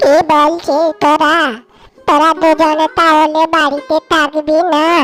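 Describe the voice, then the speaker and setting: A woman uses a cartoonish character voice, high-pitched and very slow, with faint music in the background. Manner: gentle, meek.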